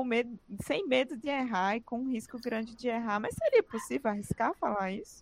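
A woman's plain, everyday voice, fairly high in pitch, with lively intonation, a moderate pace, and a dry, close sound with no echo. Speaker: podcast host. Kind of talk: interview.

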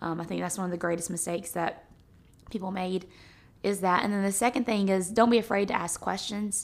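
A woman speaks at a fairly quick pace in an ordinary speaking voice, her medium pitch held in fairly even intonation, on a very clean recording with a silent background. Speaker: host's wife, guest. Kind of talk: casual religious discussion.

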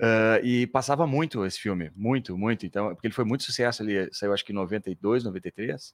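The speech goes at a moderate pace with hardly any pauses and ordinary pitch variation. Its sound is dry and close, with no echo. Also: man, fairly low pitch for a man. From Porto Alegre, southern Brazil. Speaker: stage actor. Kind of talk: interview. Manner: halting.

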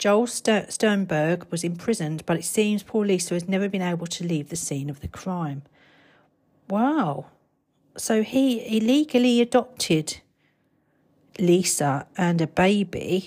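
In a British accent, a woman speaks at a fairly slow pace with lively intonation and long, frequent pauses on a very clean recording with a silent background. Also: medium pitch for a woman. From Britain. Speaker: podcaster. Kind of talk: reading aloud ghost stories from a book, chatty asides between passages. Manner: casual and rambling, stumbles over words, laughs at herself.

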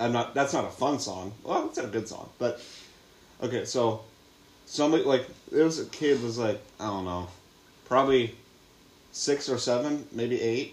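A man's medium-pitched voice with an American accent, at a moderate pace with ordinary pitch variation and long, frequent pauses, over noticeable background noise. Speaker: podcast co-host. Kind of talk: casual chat.

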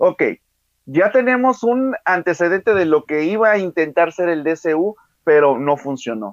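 A man with a high voice speaks at a fairly slow pace, his pitch swinging very widely, in a dry, close sound with no echo. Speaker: podcast co-host. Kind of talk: casual chat.

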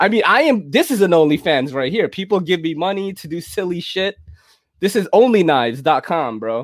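High-pitched male speech with very wide swings in pitch. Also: moderate pace. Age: 40s. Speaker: podcast host. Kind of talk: casual chat. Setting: video call. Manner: animated.

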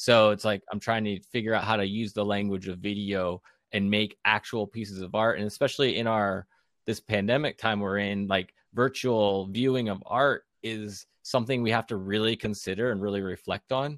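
A man with an unremarkable speaking voice talks at a fairly low pitch and a moderate pace. The recording is very clean, dry and close, with no echo and a silent background. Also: fairly even intonation. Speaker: graduate art student and artist. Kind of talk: casual chat.

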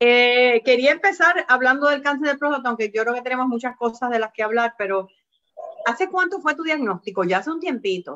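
A woman speaks at a fairly quick pace. Her voice is high-pitched, bright and sharp. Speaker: health podcast host. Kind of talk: interview.

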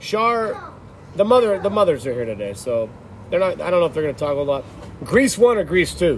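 Against noticeable background noise, a man with a high pitch talks fairly quickly, his pitch swinging very widely. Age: 40s. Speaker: podcast host. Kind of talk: casual chat.

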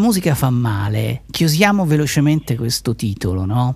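Noticeable background noise can be heard. Through it, a man talks with lively intonation. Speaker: radio host. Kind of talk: radio interview with music, live broadcast. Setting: studio.

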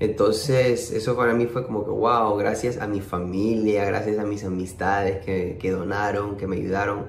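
With hardly any pauses, a man speaks at a moderate pace in a fairly low pitch and a monotone, flat intonation, with audible room echo. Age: 30s. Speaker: music producer and percussionist. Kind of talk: interview. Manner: halting, many repetitions.

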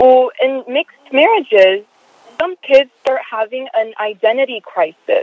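A woman's high voice carries lively intonation at a moderate pace. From Los Angeles. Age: young. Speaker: caller. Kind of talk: casual chat. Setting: phone call. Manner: halting.

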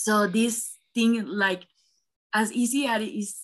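The voice has a bright, sharp tone and a Spanish accent. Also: woman. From Panama. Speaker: student podcast host. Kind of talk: interview. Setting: call.

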